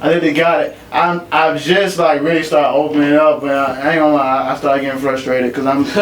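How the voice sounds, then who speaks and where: A man talks at a very fast pace with hardly any pauses. Noticeable background noise and audible room echo are present. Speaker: poet and recording artist. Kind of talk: casual podcast chat. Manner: casual, animated.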